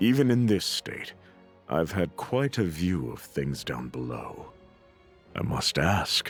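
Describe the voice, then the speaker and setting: Over faint background music, a man puts on a character voice that is very deep and low yet swings very widely in pitch, speaking calmly at a fairly slow pace with long, frequent pauses. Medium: game stream. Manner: calm, condescending.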